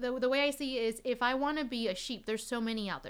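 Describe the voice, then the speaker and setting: A woman speaks with a Chinese accent. Her pace is very fast. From Taiwan. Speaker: violinist. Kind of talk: casual chat.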